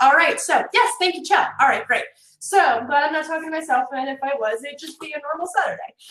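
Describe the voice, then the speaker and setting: A woman with a New Jersey accent speaks in an animated tone at an extremely high pitch. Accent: New Jersey American. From North Jersey, US. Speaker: networking consultant, workshop presenter. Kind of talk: virtual workshop presentation. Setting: live virtual conference. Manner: fast.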